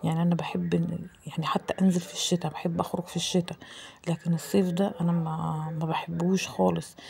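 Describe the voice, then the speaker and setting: With an Egyptian accent, a woman speaks at a moderate pace. Her pitch is fairly low. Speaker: home cooking vlogger. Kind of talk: cooking vlog voiceover. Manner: casual, halting with repetitions.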